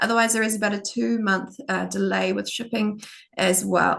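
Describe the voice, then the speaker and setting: A woman in a New Zealand accent talks at a fairly quick pace. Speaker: product demonstrator. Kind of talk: product demo. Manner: fast. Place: home room. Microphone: video call.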